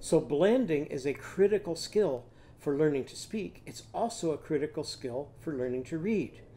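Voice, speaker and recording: His tone is dark and mellow, and the man keeps to a moderate pace. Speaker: literacy teacher. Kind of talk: lecture. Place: home room. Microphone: webcam.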